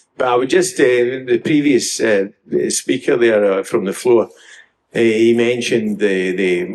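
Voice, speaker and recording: A man in a west of Scotland accent speaks at medium pitch and a fairly slow pace, with ordinary pitch variation. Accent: west of Scotland Scottish. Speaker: audience member. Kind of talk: comment from the floor. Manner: hesitant, many fillers.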